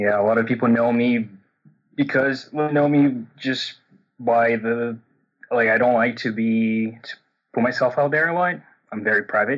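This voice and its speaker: A man at medium pitch with a Portuguese accent, ordinary pitch variation, a moderate pace and long, frequent pauses. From Brazil. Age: 30s. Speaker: coaching caller. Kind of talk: personal coaching conversation. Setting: phone call. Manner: halting, many repetitions and fillers; subdued, a bit shut down.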